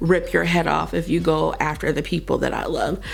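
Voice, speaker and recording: A woman's voice carries audible room echo. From Kentucky, Louisville. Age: 30s. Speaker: beauty vlogger. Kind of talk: casual chat.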